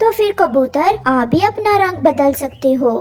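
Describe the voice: At a moderate pace, a woman uses a cartoonish character voice pitched high.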